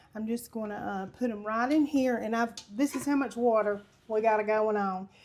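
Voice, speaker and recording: Delivered at a moderate pace with fairly even intonation, this voice has a Southern US accent. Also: woman. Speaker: home cooking video host. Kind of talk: cooking tutorial. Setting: home kitchen. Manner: loud; casual, chatty.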